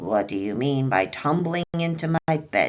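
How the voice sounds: A put-on character voice at a low-to-middle pitch delivers the lines at a moderate pace.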